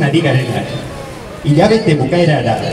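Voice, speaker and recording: Pitched fairly high, a man's voice comes through with audible room echo and light background noise. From Basque Country. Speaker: pensioner activist; protest spokesman. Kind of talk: reading aloud a motion at a protest. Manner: halting. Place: street.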